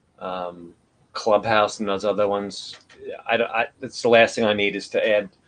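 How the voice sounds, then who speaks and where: Speaking in a New York accent, a man delivers his words with a fairly low pitch and monotone, flat intonation. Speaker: livestream host. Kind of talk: casual chat. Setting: live video broadcast.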